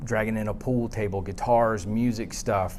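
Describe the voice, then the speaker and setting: A man with a fairly low pitch speaks in a monotone, flat intonation. Audible room echo is present. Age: 40s. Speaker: psychologist and therapist. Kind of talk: conference presentation. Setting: conference room with audience, using a tethered mic.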